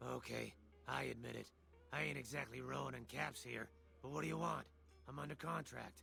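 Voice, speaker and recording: A man uses a raspy, put-on character voice at a fairly quick pace, with long, frequent pauses and clear music in the background. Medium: video game. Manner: wisecracking, sarcastic.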